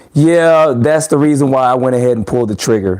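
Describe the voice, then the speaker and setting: A man in a relaxed tone with ordinary pitch variation, over noticeable background noise. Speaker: RC hobby YouTuber. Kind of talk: live stream chat with viewers. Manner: casual, relaxed.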